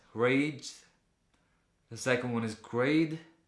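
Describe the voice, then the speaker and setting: Speaking at a fairly slow pace, a man with a medium pitch keeps his intonation fairly even amid audible room echo. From Latvia. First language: Latvian. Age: 20s. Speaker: vlogger. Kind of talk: casual vlog Q&A.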